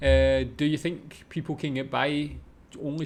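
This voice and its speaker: With a strong Scottish accent, a man talks in a fairly high voice. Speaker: reaction video creator. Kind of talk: casual reaction commentary.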